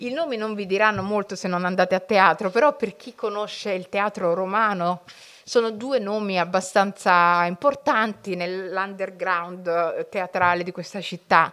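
A woman talks at a fairly slow pace in a bright, sharp tone with ordinary pitch variation. The background is quiet. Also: medium pitch for a woman, big swings in loudness. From Italy, Somali family background. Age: 40s. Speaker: writer and journalist; journalist. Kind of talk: public talk to school students. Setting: library event with live audience, streamed. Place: hall. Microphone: podium.

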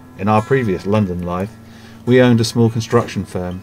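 Music plays in the background. A man talks in a fairly low voice with ordinary pitch variation. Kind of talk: narrated vlog story.

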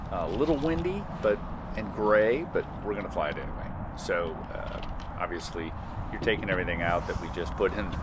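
A man talks with normal pitch movement while clear background noise is heard. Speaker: drone reviewer. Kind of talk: tutorial. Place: open country.

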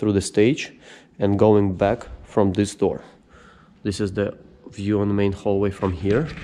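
A man with a fairly low pitch speaks at a fairly slow pace. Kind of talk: casual vlog tour. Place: hall. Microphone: phone near.

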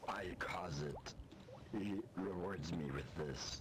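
A man puts on a character voice, very deep and low, speaking at a very slow pace over loud background noise. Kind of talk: joking in-character menace. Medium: game stream. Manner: deadpan, mock-menacing, gleeful.

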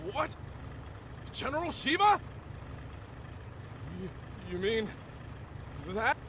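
A man does a cartoonish character voice at an extremely high pitch, with a bright, sharp tone and big pitch swings. He goes at a slow pace over faint background noise.

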